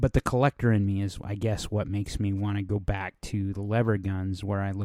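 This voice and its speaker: A man's fairly low voice with a dark, mellow tone. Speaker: podcast host. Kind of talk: casual monologue. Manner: hesitant with fillers.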